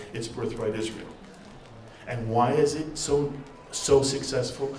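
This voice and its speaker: Recorded with audible room echo and noticeable background noise, a man at medium pitch speaks fairly slowly with ordinary pitch variation. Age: 60s. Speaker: rabbi and TV network founder. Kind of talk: panel talk. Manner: animated.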